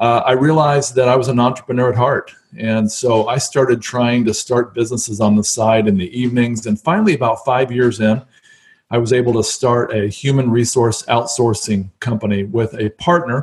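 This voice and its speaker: A man with an American accent talks at a fairly quick pace in a medium pitch, somewhat breathy. His intonation is fairly even and his loudness very even. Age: 50s. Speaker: real estate investor. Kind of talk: interview.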